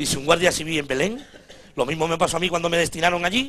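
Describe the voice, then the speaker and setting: Someone with an Andalusian accent speaks at a very fast pace over light background noise. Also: man. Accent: Andalusian (Cádiz). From Cádiz, Spain. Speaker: stand-up comedian. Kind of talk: stand-up comedy monologue. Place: stage. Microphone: handheld.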